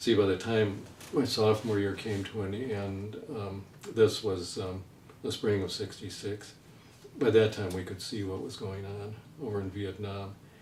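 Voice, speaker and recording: In an American accent, the speaker keeps a moderate pace and fairly even intonation, with noticeable background noise and audible room echo. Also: man, fairly low pitch for a man, big swings in loudness. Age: 70s. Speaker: writer. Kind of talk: interview. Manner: halting.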